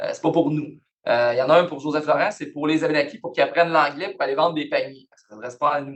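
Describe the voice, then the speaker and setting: Big swings in loudness mark this man's fairly high-pitched voice with ordinary pitch variation. He talks at a very fast pace in a Quebec accent. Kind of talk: lecture. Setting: university lecture hall, also on Zoom. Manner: casual, conversational.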